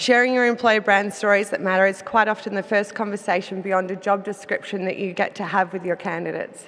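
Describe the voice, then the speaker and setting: The woman speaks with an Australian accent. Her medium-pitched voice stays monotone and flat. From Australia, Melbourne. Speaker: business executive. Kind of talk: conference presentation. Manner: some hesitations and self-corrections.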